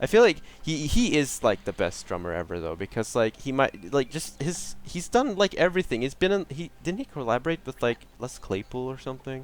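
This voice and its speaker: Animated and fairly quick, a man with a Swedish accent talks at a fairly high pitch with very wide pitch swings, vocal fry, and hardly any pauses. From Sweden. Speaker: gaming streamer. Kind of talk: live gameplay commentary. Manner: casual, halting with many restarts.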